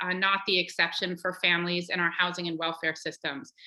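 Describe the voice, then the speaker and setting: The woman's tone is bright and sharp. She speaks at a fairly quick pace. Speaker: nonprofit executive. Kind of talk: panel presentation. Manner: fast.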